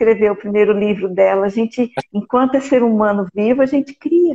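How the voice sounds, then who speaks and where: Her voice somewhat breathy, a woman speaks at a fairly high pitch with ordinary pitch variation. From Brazil, Mato Grosso do Sul (Campo Grande). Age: 60s. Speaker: art teacher and amateur playwright. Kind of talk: live stream conversation.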